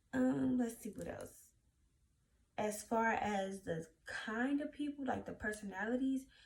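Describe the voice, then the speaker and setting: Somewhat breathy, a woman in a Louisiana accent speaks at a fairly slow pace with very wide pitch swings and long, frequent pauses. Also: fairly high pitch for a woman. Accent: Southern US (Louisiana). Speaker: YouTuber. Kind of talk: casual vlog talk.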